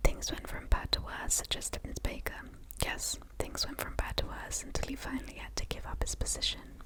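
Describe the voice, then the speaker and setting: Breathy whispering at a moderate pace, with noticeable background noise. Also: woman. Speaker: ASMR creator. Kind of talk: whispered book reading, ASMR. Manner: whispered, breathy, up close.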